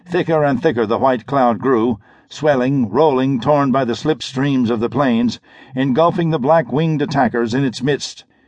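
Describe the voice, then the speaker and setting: At a moderate pace, a man talks in a medium pitch with ordinary pitch variation. His tone is animated. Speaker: audiobook narrator. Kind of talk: dramatic audiobook narration of pulp sci-fi action. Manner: urgent, suspenseful pacing with clipped, punchy delivery; animated, shifting into a crisp commanding tone for dialogue.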